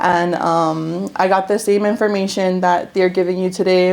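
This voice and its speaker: With a Hawaiian accent, a woman talks at a fairly low pitch in fairly even intonation. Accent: Hawaii local English. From Hawaii, Big Island (Hilo side). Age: 20s. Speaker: real estate investor. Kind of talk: workshop testimony. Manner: hesitant, many fillers.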